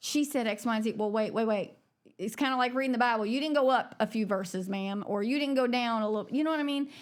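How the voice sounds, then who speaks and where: A woman's fairly high voice shows ordinary pitch variation as she talks at a very fast pace. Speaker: coffee shop owner. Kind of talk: casual chat. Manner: gets loud when excited.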